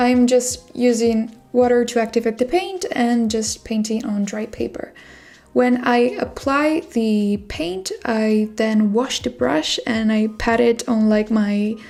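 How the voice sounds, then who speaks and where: A woman with a non-native accent speaks very slowly in a fairly high voice. Her pitch varies in an ordinary way, and there is noticeable background noise. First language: not English. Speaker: artist. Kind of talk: tutorial. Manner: relaxed, with filler words.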